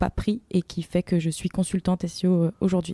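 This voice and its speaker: On a very clean recording with a silent background, a woman speaks at medium pitch in a dark, mellow tone with monotone, flat intonation. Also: dry, close sound with no echo. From France, Île-de-France (Rambouillet). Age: 20s. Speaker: SEO consultant. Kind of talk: podcast interview. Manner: hesitant, many fillers.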